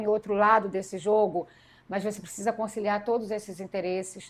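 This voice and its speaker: At a fairly quick pace, a woman talks in a fairly high pitch with monotone, flat intonation. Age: 40s. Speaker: politician and educator. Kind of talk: interview conversation.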